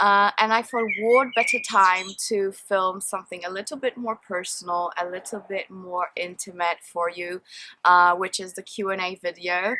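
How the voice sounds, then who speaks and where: A woman with a Polish accent speaks at a moderate pace. Her tone is bright and sharp, with fairly even intonation. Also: medium pitch for a woman. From Poland. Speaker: beauty and perfume vlogger. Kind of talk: Q&A vlog, casual chat. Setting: outdoors in a garden.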